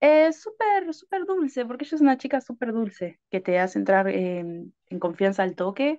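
A woman at a fairly high pitch and moderate pace, with very wide pitch swings over a quiet background. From Argentina. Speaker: adult content creator. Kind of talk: interview. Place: home room. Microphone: video call.

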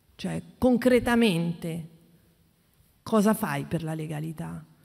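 Against a quiet background, a woman with a fairly low pitch talks at a fairly slow pace. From Friuli (Carnia area); Friuli. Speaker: investigative journalist. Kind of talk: panel talk. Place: hall. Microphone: podium.

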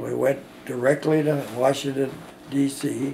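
Over light background noise, a man with a fairly high pitch talks at a very slow pace in a flat monotone. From US Midwest. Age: 80s+. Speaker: war veteran. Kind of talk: oral history interview. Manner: halting. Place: home room.

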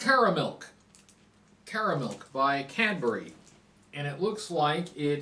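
A man's voice with light background noise. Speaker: snack reviewer. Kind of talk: casual vlog chat. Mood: relaxed, mildly upbeat. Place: home room. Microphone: camera far.

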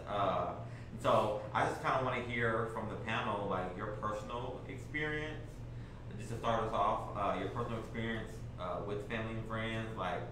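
Fairly even intonation from a man at a moderate pace, amid noticeable background noise and audible room echo. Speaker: panel moderator. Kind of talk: panel discussion moderation. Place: meeting room.

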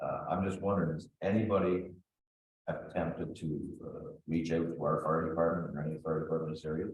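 A man talks at a fairly quick pace with a very deep, low pitch. His voice is somewhat breathy, and his intonation is fairly even. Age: 70s. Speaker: councillor. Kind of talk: council meeting.

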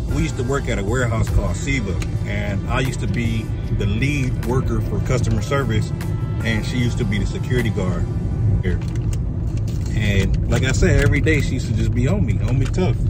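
Loud music plays in the background while a man talks at a fairly quick pace. The sound is dry with no echo. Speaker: vlogger. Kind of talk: casual vlog chat. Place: car. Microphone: phone near.

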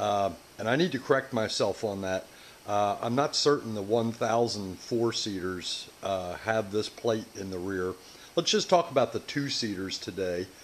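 At a fairly slow pace, a man with a fairly low pitch speaks with ordinary pitch variation over light background noise. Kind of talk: tutorial. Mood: relaxed, mildly humorous. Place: workshop.

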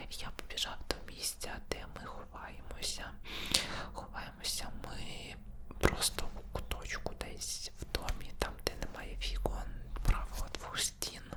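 A man whispering at a fairly slow pace, against noticeable background noise. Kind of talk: casual talk to camera, personal storytelling. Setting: ASMR studio recording, close mic. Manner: whispered, soft-spoken.

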